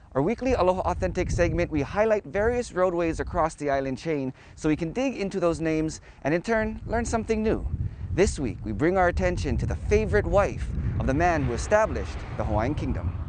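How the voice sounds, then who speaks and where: Noticeable background noise, a man talking at a fairly quick pace, and dry sound with no echo. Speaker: TV news reporter. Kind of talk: news segment stand-up. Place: street. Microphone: lapel.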